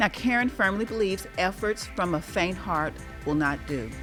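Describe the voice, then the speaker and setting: Music plays in the background as a woman with a medium pitch speaks with lively intonation. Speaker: talk show host. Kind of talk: interview host questions.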